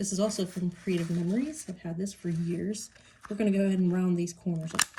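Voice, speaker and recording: A woman talks at a very fast pace with ordinary pitch variation against noticeable background noise. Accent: Pittsburgh. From Pittsburgh, US. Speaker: crafter. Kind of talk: tutorial. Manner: hesitant, many fillers.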